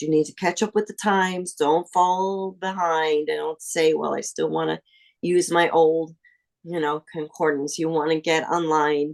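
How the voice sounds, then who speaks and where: A woman with a plain, everyday voice talks at a fairly slow pace and a fairly low pitch, her intonation fairly even, in a dry, close sound with no echo. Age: 60s. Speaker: seminary graduate. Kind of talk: interview.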